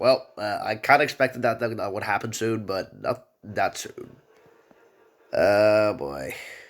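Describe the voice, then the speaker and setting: A man speaks quietly at a fairly slow pace, his loudness swinging widely, with music playing in the background. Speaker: gaming youtuber. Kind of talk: game reaction video. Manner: halting.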